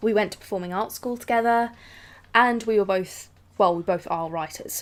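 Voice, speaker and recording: Speaking with a British accent at a moderate pace, a woman uses a medium pitch and ordinary pitch variation. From England. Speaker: vlogger. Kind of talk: casual talk to camera.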